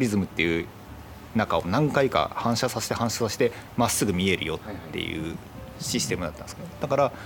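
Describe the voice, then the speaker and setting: A man's fairly low voice at a fairly quick pace, with very wide pitch swings. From Itoshima, Fukuoka, Kyushu, Japan. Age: 40s. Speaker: photographer. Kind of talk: casual chat.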